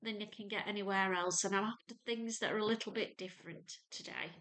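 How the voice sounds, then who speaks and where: A woman with a Lancashire accent speaks at a fairly high pitch with fairly even intonation. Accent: North Lancashire. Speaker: sewing youtuber. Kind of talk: casual tutorial-style chat. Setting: home sewing room.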